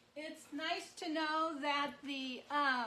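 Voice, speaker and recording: A woman uses a raised, projected voice at a high pitch. Noticeable background noise and audible room echo fill the recording. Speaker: marbling artist. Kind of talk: live craft demonstration. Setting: livestream at marbling tank. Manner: loud.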